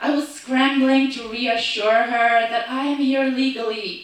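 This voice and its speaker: Someone with a slight non-native accent speaks at a very slow pace, with audible room echo. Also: woman. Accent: foreign accent, slight. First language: not English. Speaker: actor and storyteller. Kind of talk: storytelling performance. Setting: stage with audience.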